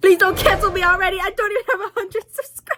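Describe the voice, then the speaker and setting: Noticeable background noise is present. A woman talks over it fairly quickly. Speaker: lifestyle vlogger. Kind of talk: casual chat. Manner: loud; casual, rambling speech with fillers.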